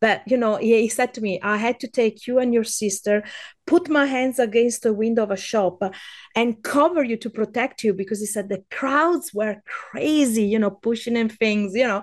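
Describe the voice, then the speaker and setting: A woman talks at a moderate pace in an Italian accent, her pitch fairly high. Her pitch varies in an ordinary way against a quiet background. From Veneto, Italy. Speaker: food guide and podcaster. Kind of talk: casual interview chat.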